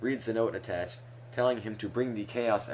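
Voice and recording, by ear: The reading is done aloud in a natural voice, its intonation fairly even.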